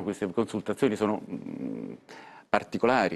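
At a moderate pace, a man delivers his words. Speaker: senator and former party member. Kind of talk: heated political argument, interrupting and retorting. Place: studio. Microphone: lapel.

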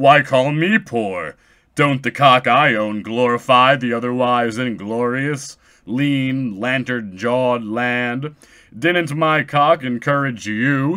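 At a fairly slow pace, a man uses a put-on character voice at a medium pitch. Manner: proud, defiantly cheerful.

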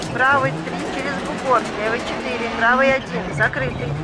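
A woman speaks in a fairly high pitch with very wide pitch swings. Noticeable background noise sits behind her. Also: moderate pace. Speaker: rally co-driver voice. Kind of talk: rally pacenote calls.

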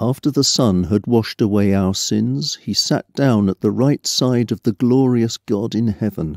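This man has an unremarkable speaking voice at a medium pitch, with ordinary pitch variation. He talks at a moderate pace with very even loudness and hardly any pauses. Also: dry, close sound with no echo. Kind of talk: scripture reading.

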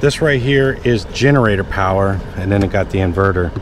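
A man's fairly low voice at a moderate pace with ordinary pitch variation, a dry sound with no echo, and noticeable background noise. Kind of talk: casual vlog chat. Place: street. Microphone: phone near.

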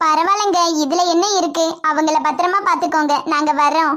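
A woman's put-on character voice, extremely high in pitch, with fairly even intonation. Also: moderate pace. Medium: voice reel. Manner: caring, reassuring.

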